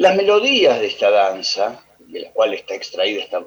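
A man talks with a Rioplatense accent. His pace is moderate. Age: old. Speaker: radio tango program co-host. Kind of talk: radio music commentary.

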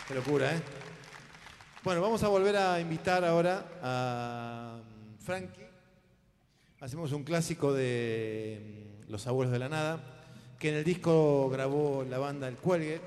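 A man with a fairly high pitch speaks at a very slow pace, using lively intonation and long, frequent pauses, with audible room echo. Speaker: musical director and emcee. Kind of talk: live concert emceeing. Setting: stage with audience.

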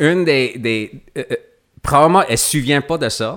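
A man's bright, sharp voice with lively intonation and an English accent. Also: very clean recording, silent background. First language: English (speaking French). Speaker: actor. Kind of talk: casual chat. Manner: halting, many repetitions.

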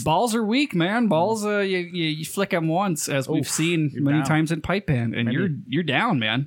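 A man in a Nevada accent, high-pitched with lively intonation, at a fairly slow pace with hardly any pauses and very even loudness. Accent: rural Nevada twang. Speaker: podcast co-host. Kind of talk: casual, profane.

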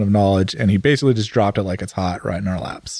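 A man talks at a very fast pace with a slight Californian accent. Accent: general American, slight Californian. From Northern California. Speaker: podcast host. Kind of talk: casual banter.

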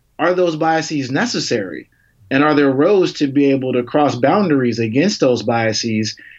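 Keeping his loudness very even, a man speaks at a fairly high pitch with lively intonation. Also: moderate pace, quiet background. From Chicago. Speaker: advertising tech executive. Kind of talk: casual interview conversation.

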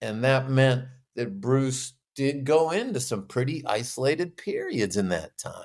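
A man with a normal speaking voice at a medium pitch, lively intonation and a fairly slow pace, on a very clean recording with a silent background. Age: 50s. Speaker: author and musician. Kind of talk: interview.

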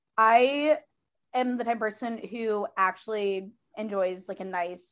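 A woman speaks at a fairly slow pace in an American accent, with a fairly high pitch. Her pitch varies in an ordinary way, and it is a normal speaking voice. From US Midwest. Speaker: podcast host. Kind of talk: casual chat. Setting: studio.

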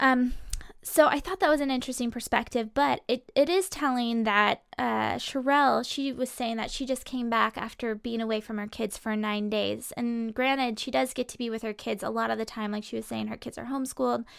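Delivered at a fairly quick pace with hardly any pauses, a plain, everyday voice shows ordinary pitch variation on a very clean recording with a silent background. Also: woman, fairly high pitch for a woman. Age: 20s. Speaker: live stream host and entrepreneur. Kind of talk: casual live stream talk. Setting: studio.

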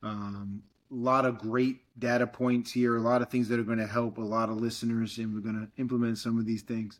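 In an American accent, the speaker moves at a fairly quick pace with a monotone, flat intonation. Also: man, medium pitch for a man. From Fall River, Massachusetts. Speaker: podcast host, fitness coach. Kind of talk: casual interview chat.

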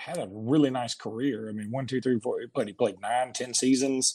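A man with a slight Southern US accent, medium pitch, ordinary pitch variation and a moderate pace, in a very clean recording with a silent background. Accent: Southern US accent, mild. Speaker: sports podcast host. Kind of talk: casual chat.

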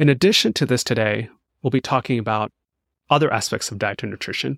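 A man's normal speaking voice at medium pitch, ordinary pitch variation, a dry, close sound with no echo, and a very clean recording with a silent background. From India, partly raised in US South. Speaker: podcast host. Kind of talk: casual interview.

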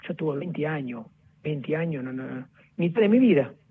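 At a fairly slow pace, a man with a fairly high pitch talks using lively intonation. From southern Italy (Naples area). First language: Italian (speaking Spanish). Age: 40s. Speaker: friend of a football star. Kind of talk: phone interview. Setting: phone call.

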